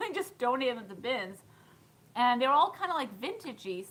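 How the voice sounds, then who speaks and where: A woman uses a raised, projected voice with a high pitch and a bright, sharp tone. Her pitch swings very widely. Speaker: thrift reseller and vlogger. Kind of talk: live stream chat and haul. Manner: casual, chatty.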